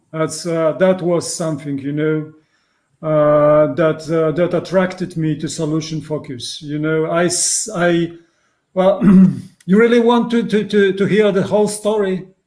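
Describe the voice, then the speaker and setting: Speaking with a Polish accent, a man talks at a fairly slow pace. His pitch is high, with ordinary variation. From Poland. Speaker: psychotherapist. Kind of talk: interview. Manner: halting.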